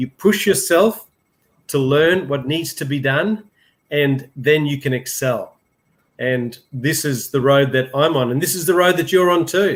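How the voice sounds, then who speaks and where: Speaking with an Australian accent, a man talks at a fairly slow pace with a fairly high pitch and ordinary pitch variation. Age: 60s. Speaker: business mentor. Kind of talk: live interview.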